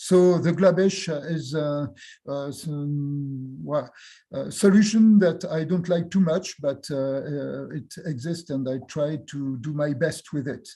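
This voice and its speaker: A man with a French accent speaks very slowly, his fairly high voice carrying a dark, mellow tone and ordinary pitch variation. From France. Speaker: university professor and geographer. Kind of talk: academic Q&A discussion. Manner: halting, many hesitations.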